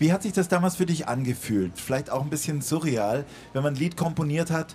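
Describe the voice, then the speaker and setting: A man speaks in a somewhat breathy voice. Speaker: radio host. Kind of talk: live radio interview. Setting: outdoor stage with live audience.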